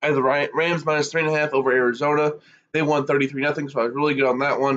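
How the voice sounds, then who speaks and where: This man talks at a very fast pace in a monotone, flat intonation. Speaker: sports commentator. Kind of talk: solo sports talk livestream. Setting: Facebook Live stream.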